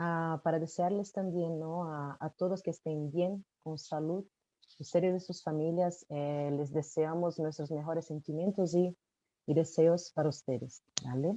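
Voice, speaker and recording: A woman with a Brazilian accent speaks at a fairly slow pace, with fairly even intonation and a dark, mellow tone. The sound is dry and close with no echo, over a quiet background. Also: fairly low pitch for a woman. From Brazil, São Paulo. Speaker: supply chain consultant. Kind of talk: webinar panel presentation. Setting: webcast.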